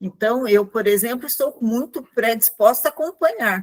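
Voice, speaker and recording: This woman's voice sits fairly high, with lively intonation. The sound is dry and close, with no echo. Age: 60s. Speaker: neurodevelopment rehabilitation professional. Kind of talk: panel discussion.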